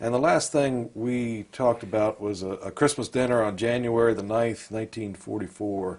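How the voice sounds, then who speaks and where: At a moderate pace with hardly any pauses, a man uses a normal speaking voice, medium in pitch and fairly even in intonation. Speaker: interviewer.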